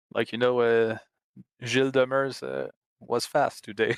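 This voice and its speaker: In a Quebec accent, a man speaks at a fairly slow pace with fairly even intonation. The recording is very clean, with a silent background and a dry, close sound with no echo. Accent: Québécois French. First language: French. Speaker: sim racing driver. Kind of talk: post-race interview. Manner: halting, many hesitations.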